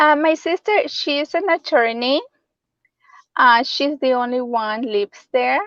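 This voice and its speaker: In a Spanish accent, a woman speaks with a high pitch and lively intonation at a fairly slow pace. The sound is dry and close, with no echo. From El Salvador (San Salvador). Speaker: real estate agent. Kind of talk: interview.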